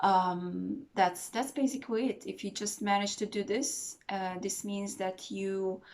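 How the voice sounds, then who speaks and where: A woman's medium-pitched, calm voice with a non-native accent at a very slow pace, in a very clean recording against a silent background. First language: not English. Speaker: meditation teacher. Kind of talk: tutorial. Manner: hesitant, many fillers.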